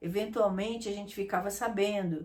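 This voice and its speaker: A woman's somewhat breathy voice sits at medium pitch with fairly even intonation. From Brazil, Rio de Janeiro. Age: 70s. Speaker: interviewee recalling the dictatorship. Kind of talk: interview.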